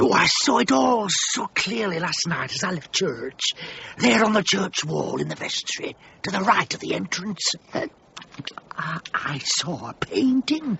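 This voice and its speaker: Putting on a character voice, a man speaks high for a man at a moderate pace, with long, frequent pauses. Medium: audio drama.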